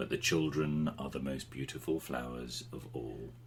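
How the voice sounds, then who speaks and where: A put-on character voice at a moderate pace with clear background noise. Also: man. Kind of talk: bedtime story. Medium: read story. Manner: slow, earnest.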